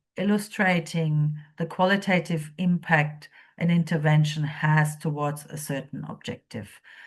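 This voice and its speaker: This woman's voice is very deep and low in pitch, and somewhat breathy. Her intonation stays fairly even while her loudness swings widely. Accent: non-native. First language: not English. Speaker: policy researcher presenting a training module. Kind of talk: lecture. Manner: hesitant, many fillers.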